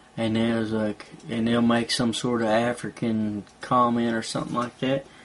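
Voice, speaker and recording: There is noticeable background noise behind this man with a Southern US accent. His pitch is medium and his intonation is monotone and flat. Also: moderate pace. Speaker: vlogger. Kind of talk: casual monologue.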